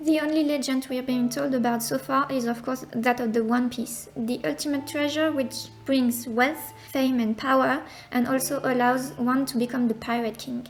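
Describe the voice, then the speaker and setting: With a non-native accent, a woman talks at a moderate pace in a high pitch with fairly even intonation and hardly any pauses, over noticeable background noise. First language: not English. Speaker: manga lore content creator. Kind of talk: casual explainer narration. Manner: somewhat flat delivery.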